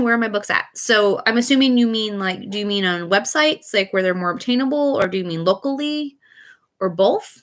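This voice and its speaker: In an American accent, a woman talks loudly at a fairly quick pace. Her fairly high voice moves through very wide pitch swings. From US Midwest, Missouri. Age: 30s. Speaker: author and live streamer. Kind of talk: casual live Q and A chat. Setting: live stream. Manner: loud but poorly projected.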